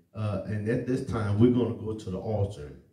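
In a room with audible echo, a man speaks at a fairly low pitch with ordinary pitch variation. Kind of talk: sermon. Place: church.

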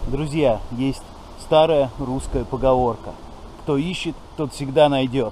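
The sound is dry with no echo, and light background noise is present. A man talks at a fairly slow pace. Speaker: fishing vlogger. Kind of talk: casual vlog chat. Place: waterside. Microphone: phone near.

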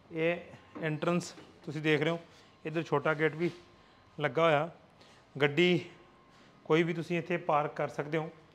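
At a moderate pace, the speaker uses a fairly bright tone and little pitch movement. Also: man, fairly high pitch for a man.

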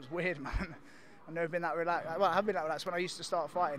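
Light background noise sits behind a man with a high pitch, recorded in a dry sound with no echo. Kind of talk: interview answer. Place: hall. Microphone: handheld.

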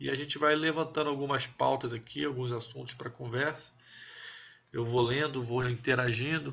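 In a normal speaking voice, a man talks at a moderate pace and a medium pitch, with fairly even intonation. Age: 30s. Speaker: army officer and political commentator. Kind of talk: live stream chat with viewers.

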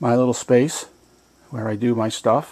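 A man is speaking. He goes at a fairly slow pace. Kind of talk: casual vlog chat. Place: garage. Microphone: phone near.

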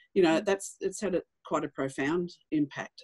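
A woman with an Australian accent speaks at a moderate pace in a fairly low pitch and a dark, mellow tone, with ordinary pitch variation over a quiet background. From regional Australia. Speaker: bank managing director; panelist. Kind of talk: webinar panel discussion. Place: home room. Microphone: video call.

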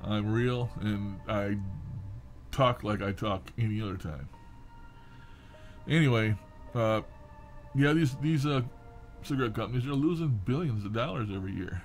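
Over faint music in the background, a man speaks at a moderate pace with long, frequent pauses. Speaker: vlogger. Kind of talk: casual vlog chat. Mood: opinionated, ranting about politicians. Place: home room.

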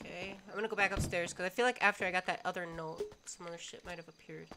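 Medium pitch from a woman speaking in an American accent. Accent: American accent, noticed by viewers. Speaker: gaming streamer. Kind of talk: live gameplay stream commentary. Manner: animated.

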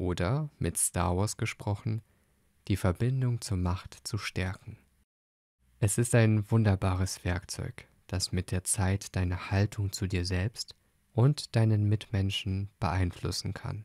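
With a dark, mellow tone and a calm, soothing delivery, a man speaks at a fairly low pitch and a very slow pace, his intonation fairly even and the sound dry and close with no echo. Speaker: podcast host and meditation guide. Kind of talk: guided meditation. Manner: calm, slow, soothing; gentle, soft-spoken.

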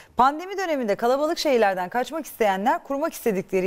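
A woman talks at a very fast pace in a high voice. Her pitch swings very widely. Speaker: TV morning show presenter. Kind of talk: TV health talk show. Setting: studio. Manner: animated.

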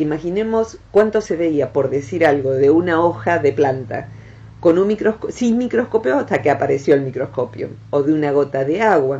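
The voice has a dark, mellow tone and an Argentine accent. Its pitch swings very widely at a moderate pace. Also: woman, very deep, low pitch for a woman. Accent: Argentine Rioplatense. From Argentina. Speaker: psychologist, director of a transpersonal psychology center. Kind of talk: radio talk, educational explanation about the brain. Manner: warm, friendly, conversational. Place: studio.

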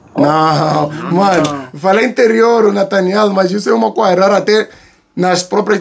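Over noticeable background noise, a man with an animated tone speaks at a fairly slow pace in a high voice with ordinary pitch variation. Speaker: YouTuber reacting to videos. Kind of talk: casual reaction commentary.

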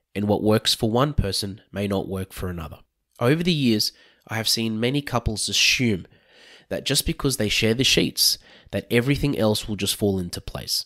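Someone with an Australian accent speaks at a moderate pace with lively intonation, the sound dry and close with no echo. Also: man. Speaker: financial adviser. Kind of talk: podcast introduction.

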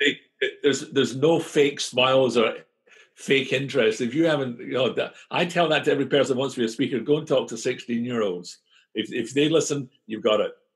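With a Scottish accent, a man speaks fairly quickly at a fairly high pitch, using ordinary pitch variation. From Scotland. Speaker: conference speaker, author. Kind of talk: interview answer.

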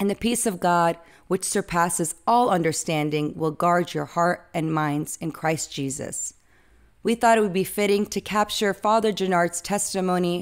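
A woman has a normal speaking voice, talking at a moderate pace with ordinary pitch variation. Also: very clean recording, silent background. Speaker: youth ministry volunteer and interviewer. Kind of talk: interview. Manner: formal.

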